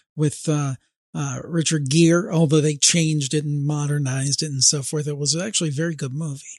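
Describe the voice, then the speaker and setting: A man speaks with an American accent at a fairly high pitch. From US Midwest, Ohio. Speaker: paranormal podcast host. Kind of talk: casual chat.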